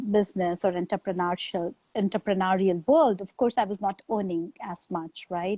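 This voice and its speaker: The speech moves at a moderate pace in an Indian accent with hardly any pauses and ordinary pitch variation. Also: woman, medium pitch for a woman. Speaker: author and business strategist. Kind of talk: interview. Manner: hesitant, many fillers.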